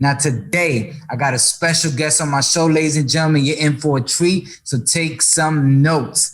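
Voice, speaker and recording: Animated and somewhat breathy, a man with an American accent talks at a moderate pace and fairly high pitch, with very even loudness and hardly any pauses. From New York, the Bronx (Dominican parents). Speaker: podcast host, actor and musician. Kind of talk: casual interview. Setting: at home, living room.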